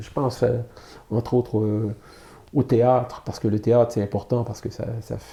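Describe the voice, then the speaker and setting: A man speaks with a somewhat breathy voice in a fairly low pitch and a dark, mellow tone. His intonation stays monotone and flat. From Quebec, Canada. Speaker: illustrator and comic artist. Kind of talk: interview answer. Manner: hesitant, many fillers.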